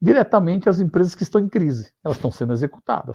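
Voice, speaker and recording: Against a quiet background, a man speaks in a somewhat breathy voice. His pitch swings very widely. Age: 60s. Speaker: finance executive and consultant. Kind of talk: interview. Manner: halting, many fillers and repetitions.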